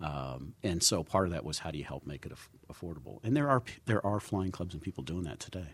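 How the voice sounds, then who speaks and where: A man with an American accent at a very deep, low pitch and a very fast pace, with hardly any pauses, lively intonation, vocal fry and big swings in loudness. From Southern California. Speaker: aviation organization chief executive. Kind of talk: casual chat. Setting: studio.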